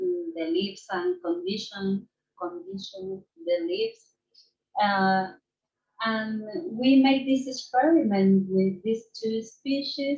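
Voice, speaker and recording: A woman with a fairly high, somewhat breathy voice speaks at a very slow pace, with very wide pitch swings and long, frequent pauses. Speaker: ecology researcher. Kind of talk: conference presentation. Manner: halting, many fillers.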